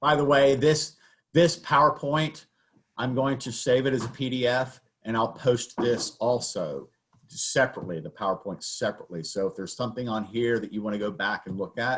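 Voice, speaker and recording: This man has an American accent and ordinary pitch variation. He speaks at a fairly quick pace. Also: medium pitch for a man. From US South. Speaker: baking instructor. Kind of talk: lecture. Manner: casual, with many fillers.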